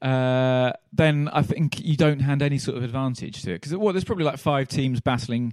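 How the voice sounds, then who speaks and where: A man speaks at a fairly quick pace with hardly any pauses. He has a plain, everyday voice and ordinary pitch variation. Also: medium pitch for a man. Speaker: podcast host. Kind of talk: casual banter while watching football.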